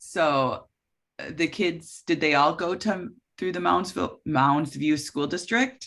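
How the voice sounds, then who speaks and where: Someone with an Upper Midwest accent speaks at a very slow pace in a very clean recording with a silent background. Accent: Upper Midwest American. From Minnesota, Coon Rapids. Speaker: oral history interviewer. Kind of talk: oral history interview.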